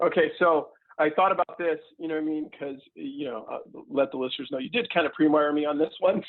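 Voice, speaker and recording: Fairly quick, fairly high-pitched male speech over background music. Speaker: company president and CEO. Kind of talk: podcast interview. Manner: fast; animated.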